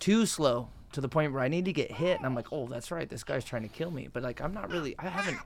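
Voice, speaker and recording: Over noticeable background noise, a man speaks at a very fast pace. His pitch is fairly high and his intonation lively. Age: 20s. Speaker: MMA fighter and gym owner. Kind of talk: casual chat.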